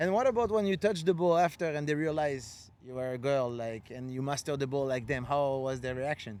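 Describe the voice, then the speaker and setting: Barely pausing, a man with a French accent talks at a fairly quick pace in a fairly high voice with lively intonation. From France. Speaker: podcast host and freestyle footballer. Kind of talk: casual chat.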